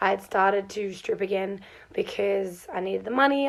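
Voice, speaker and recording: There is noticeable background noise as a woman with an Australian accent talks at medium pitch with ordinary pitch variation. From Australia, Melbourne. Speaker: farm hand. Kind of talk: casual vlog storytelling. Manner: animated.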